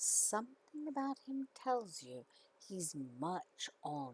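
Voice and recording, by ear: Here someone reads aloud in a natural voice.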